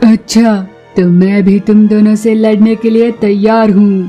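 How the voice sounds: A cartoonish character voice, female-sounding and medium in pitch, speaks at a fairly slow pace in a monotone, flat intonation. Faint music sits in the background.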